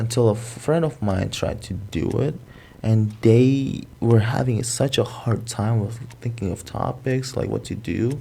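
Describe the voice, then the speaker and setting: Speaking at a fairly slow pace with an American accent, a man has a somewhat breathy, dark, mellow tone, medium pitch and fairly even intonation. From Indonesia. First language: Indonesian. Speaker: content creator. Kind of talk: casual chat.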